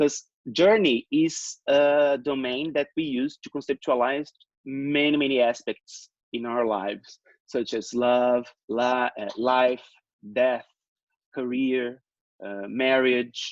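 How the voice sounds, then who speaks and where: At a very slow pace, a man talks in a dry, close sound with no echo. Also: medium pitch for a man. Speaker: professor. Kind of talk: lecture. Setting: video call. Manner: halting, many fillers.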